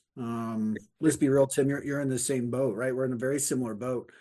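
Over a quiet background, a man with an American accent and a medium pitch speaks very fast in a flat, monotone delivery. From Indiana, US Midwest (Batesville). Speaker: sales training consultant. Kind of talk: casual interview. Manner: halting, many fillers.

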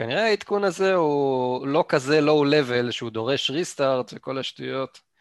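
Dry and close with no echo over a quiet background, a man's fairly high voice moves at a moderate pace with hardly any pauses and ordinary pitch variation. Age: 30s. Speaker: gaming podcast co-host. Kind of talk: casual chat.

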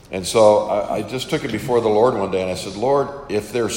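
A man at a moderate pace, fairly low in pitch, over noticeable background noise. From Western New York, US. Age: 50s. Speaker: camp minister and preacher. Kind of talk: interview testimony.

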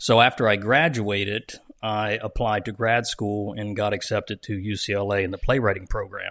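A man speaks in a plain, everyday voice with an American accent, fairly low in pitch and fairly even in intonation. He keeps a moderate pace against a quiet background. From US Northeast, South Jersey. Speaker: TV writer, director and producer. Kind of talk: interview, casual chat.

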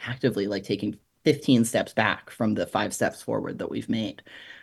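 A man's medium-pitched voice with vocal fry, ordinary pitch variation and a very fast pace. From Alberta, Canada (Red Deer area). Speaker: journalist and magazine editor. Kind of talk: interview. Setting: remote call.

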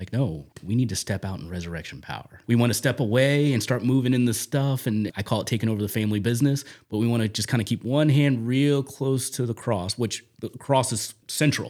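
A man talks in a normal speaking voice at a medium pitch, with ordinary pitch variation. His pace is fairly quick, and the recording is very clean with a silent background. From US Northeast, South Jersey near Camden. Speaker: church prayer coordinator. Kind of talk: faith testimony interview.

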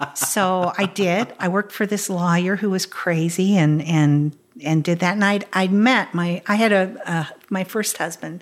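A woman with an American accent speaks at a fairly slow pace with hardly any pauses, medium pitch and fairly even intonation. The recording is very clean, with a silent background. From Kansas, US Midwest. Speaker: stage actress and singer. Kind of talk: casual interview. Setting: at her home.

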